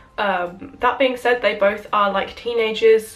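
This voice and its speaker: With a British accent, a woman speaks at a fairly high pitch and ordinary pitch variation. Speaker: YouTuber. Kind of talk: casual film review to camera.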